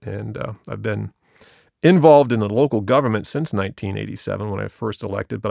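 At a very fast pace, a man speaks with a fairly low pitch, ordinary pitch variation, and vocal fry. The sound is dry and close, with no echo. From US Midwest, Ohio. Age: 50s. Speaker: village service director, former mayor. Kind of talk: interview.

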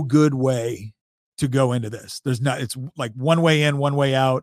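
An unremarkable speaking voice moves at a fairly quick pace with fairly even intonation. The recording is very clean, dry and close, with a silent background and no echo. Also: man. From Northern California. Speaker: politician and military veteran. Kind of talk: casual chat.

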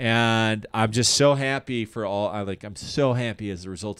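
A man speaks in a normal speaking voice with a General American accent, his pitch fairly low with ordinary variation. The recording is very clean, with a silent background. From Colorado, Denver area. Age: 30s. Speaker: comedian. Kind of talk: casual chat.

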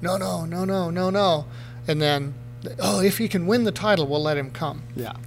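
Audible room echo and noticeable background noise surround speech with lively intonation. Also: man, fairly high pitch for a man, moderate pace. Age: 50s. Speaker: retired motocross racer. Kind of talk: casual chat.

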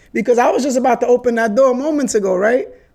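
An animated man's voice, extremely high in pitch, with ordinary pitch variation. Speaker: podcast host. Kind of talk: casual street slang. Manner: storytelling, animated.

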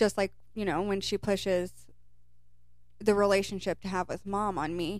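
A woman's monotone, flat intonation with an American accent, at a moderate pace with long, frequent pauses. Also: medium pitch for a woman. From Kentucky, US. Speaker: podcast co-host. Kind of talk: casual chat.

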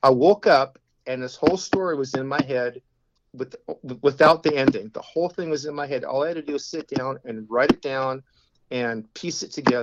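A man with an ordinary speaking voice talks at a fairly quick pace and a fairly high pitch, with ordinary pitch variation and a dry, close sound without echo. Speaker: author, arborist. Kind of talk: interview.

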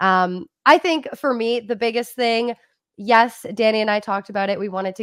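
A woman with a Canadian accent has an ordinary speaking voice, ordinary pitch variation and a moderate pace. The sound is dry and close with no echo, on a very clean recording with a silent background. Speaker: actress. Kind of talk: casual chat.

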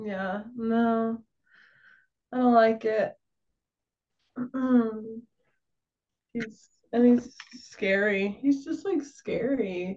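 Speaking very slowly, a woman leaves long, frequent pauses. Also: ordinary pitch variation. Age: 20s. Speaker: content creator. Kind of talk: casual chat.

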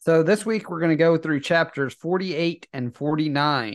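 A man speaks in a normal speaking voice, fairly high-pitched, with ordinary pitch variation against a quiet background. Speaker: podcast co-host, avid book rereader. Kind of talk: casual podcast discussion.

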